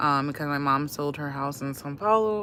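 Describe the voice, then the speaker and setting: This woman has a very deep, low pitch and a bright, sharp tone, with an American accent. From Washington DC, US. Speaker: livestreamer. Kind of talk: casual chat. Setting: live stream. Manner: hesitant, many fillers.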